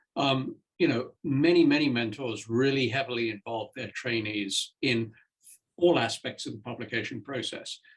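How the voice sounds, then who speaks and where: A man speaks with a British accent at medium pitch. His voice is somewhat breathy, and his pace is moderate. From Britain. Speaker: senior scientist and mentor. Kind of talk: panel discussion.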